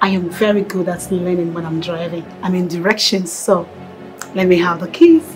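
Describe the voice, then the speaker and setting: A woman's fairly low, flat monotone at a moderate pace, with faint music in the background. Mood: playful, reassuring. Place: street.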